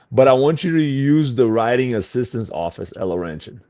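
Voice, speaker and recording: A man speaks with a Portuguese accent in a medium-pitched voice. His tone is dark and mellow, and his intonation is lively. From Brazil. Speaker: fitness coach. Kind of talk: interview. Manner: casual, full of fillers.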